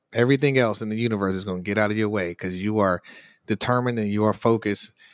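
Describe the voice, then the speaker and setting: An unremarkable speaking voice at a fairly quick pace, with ordinary pitch variation, in a very clean recording with a silent background and a dry, close sound with no echo. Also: man. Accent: American. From US Midwest, Chicago south side. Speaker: hedge fund manager and finance educator. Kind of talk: interview.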